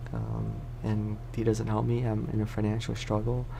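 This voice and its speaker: Talking at a moderate pace, this speaker is soft-spoken. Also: man. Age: 20s. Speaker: ASMR creator. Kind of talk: casual talk to camera.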